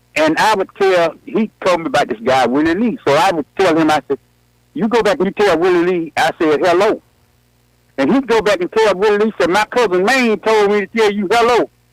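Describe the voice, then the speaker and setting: Speaking fairly quickly with an Alabama accent, the voice has lively intonation and very even loudness in a dry, close sound with no echo. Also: man, high pitch for a man. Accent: Southern US (Alabama). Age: 70s. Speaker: caller. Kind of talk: casual chat.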